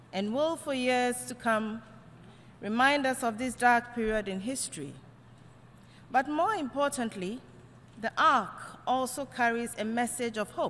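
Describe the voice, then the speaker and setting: Over noticeable background noise, a woman speaks in a high voice at a fairly slow pace. She leaves long, frequent pauses. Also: ordinary pitch variation. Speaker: Ghanaian ambassador to the UN. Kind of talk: formal diplomatic speech at the UN General Assembly.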